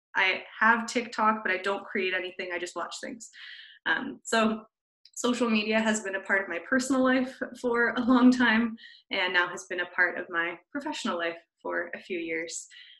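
With a bright, sharp tone and a fairly high pitch, a woman speaks at a moderate pace with ordinary pitch variation, against a quiet background with audible room echo. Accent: Canadian. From Canada. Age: 20s. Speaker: social media content creator. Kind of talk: webinar presentation. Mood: friendly, relaxed. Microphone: video call.

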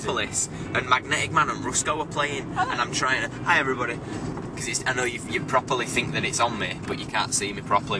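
Over noticeable background noise, a man talks at a very fast pace with ordinary pitch variation, the sound dry with no echo. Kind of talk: casual vlog chat. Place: car. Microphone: phone near.

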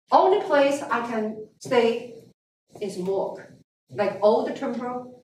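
A woman speaks in a high pitch with lively intonation, with audible room echo and light background noise. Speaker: guest. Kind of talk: lecture. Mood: earnest storytelling about hardship. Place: classroom. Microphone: camera far.

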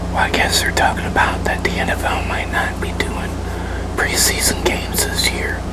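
A man is whispering. He goes at a moderate pace. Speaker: ASMR creator. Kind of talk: ASMR casual talk to camera. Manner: whispered. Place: kitchen. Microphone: lapel.

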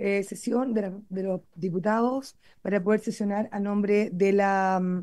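Woman's dark, mellow voice at medium pitch, ordinary pitch variation, quiet background. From Chile. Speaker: committee chair, parliamentarian. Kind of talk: parliamentary committee session. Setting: parliamentary committee room. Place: meeting room. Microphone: podium.

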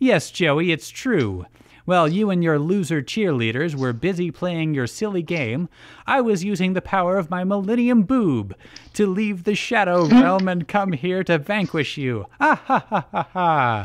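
A man puts on a loud, cackling character voice pitched high. He delivers it at a moderate pace. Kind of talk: comic overacting. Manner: smug, cackling, menacing.

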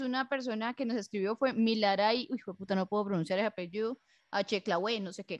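A woman's plain, everyday voice, fairly high in pitch with ordinary pitch variation, at a fairly quick pace, in a dry, close sound with no echo over a quiet background. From Colombia, warm-climate region. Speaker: podcast co-host. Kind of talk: casual chat.

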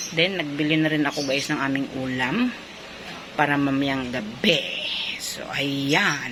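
Against noticeable background noise, a woman with a very deep, low pitch speaks at a fairly slow pace, her loudness swinging widely. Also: ordinary pitch variation. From Philippines. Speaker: vlogger; store owner vlogger. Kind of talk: vlog narration. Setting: outdoors. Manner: casual. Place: shop. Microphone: phone near.

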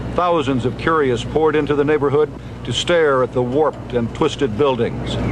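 A man's serious tone at fairly high pitch, moderate pace and fairly even intonation, with noticeable background noise. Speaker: TV news reporter. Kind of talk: 1989 TV news report narration. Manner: steady, serious, reportorial.

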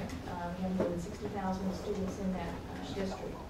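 Moderate pace against loud background noise and audible room echo. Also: woman. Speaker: university IT director. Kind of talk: conference talk. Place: meeting room.

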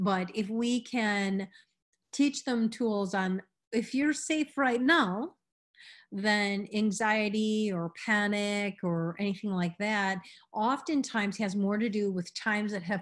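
Over a quiet background, a woman with a plain, everyday voice speaks fairly slowly at a medium pitch, with ordinary pitch variation. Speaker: meditation teacher. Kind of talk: instructional workshop. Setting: video class with participants.

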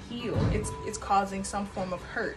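Clear music sits in the background as a woman talks at a moderate pace. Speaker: tarot reader. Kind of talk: tarot reading commentary. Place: home room. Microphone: phone near.

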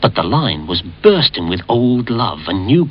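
The clip features a natural reading voice.

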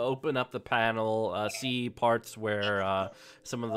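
Someone reads aloud plainly. The pitch hardly wanders, staying fairly even.

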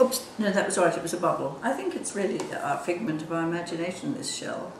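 The speech races along at a very fast pace. Audible room echo and noticeable background noise fill the recording. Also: woman. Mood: warm, patient. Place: kitchen. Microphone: camera far.

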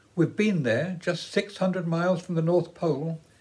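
A moderate pace and a high pitch from a male speaker. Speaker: storyteller. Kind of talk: storytelling narration. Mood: warm, gentle. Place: home room. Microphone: phone near.

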